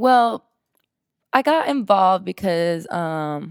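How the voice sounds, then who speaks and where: The recording is very clean, with a silent background and a dry, close sound with no echo. On it, a woman speaks at a fairly low pitch. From Southern California, Inland Empire. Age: 20s. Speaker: DJ and social media activist. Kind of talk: casual interview.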